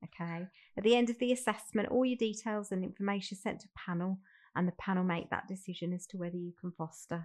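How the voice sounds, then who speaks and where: Against a quiet background, someone speaks in a Birmingham accent at a very fast pace with fairly even intonation. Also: woman, medium pitch for a woman. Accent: Brummie. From Birmingham, England. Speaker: fostering recruitment manager. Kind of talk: role-play phone enquiry.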